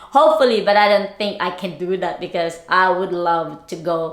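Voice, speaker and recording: Noticeable background noise and audible room echo around a woman speaking at a moderate speed. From Philippines, Bicol region. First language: Bicol dialect / Tagalog. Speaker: lifestyle vlogger. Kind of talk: casual vlog chat. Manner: halting, repeats words.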